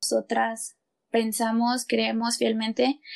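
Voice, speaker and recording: Very slowly and in a flat monotone, a woman speaks at a fairly high pitch in a very clean recording with a silent background. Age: 20s. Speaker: podcast co-host, student. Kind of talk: casual chat.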